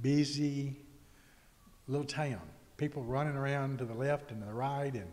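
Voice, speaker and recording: A man speaks at medium pitch in a Mississippi accent. His intonation stays fairly even. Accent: Mississippi Southern. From US South, Mississippi. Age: 60s. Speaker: author. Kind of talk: casual chat.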